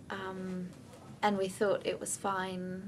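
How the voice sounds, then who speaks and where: A woman's medium-pitched, monotone, flat voice at a very slow pace, with audible room echo. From Denmark. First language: Danish. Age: 20s. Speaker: bereaved partner. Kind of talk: testimony. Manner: hesitant, with many fillers.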